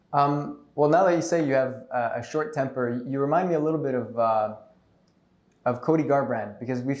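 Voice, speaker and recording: The speech comes at a fairly quick pace with audible room echo. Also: man. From Montreal, Quebec. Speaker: podcast host. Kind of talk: interview.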